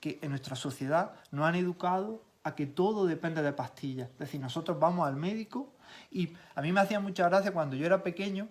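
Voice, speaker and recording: In an Andalusian accent, a man talks fairly quickly in a high pitch with ordinary pitch variation. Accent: Granada Andalusian. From Granada province, Andalusia, Spain. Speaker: physiotherapist and nutrition specialist. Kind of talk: casual interview chat.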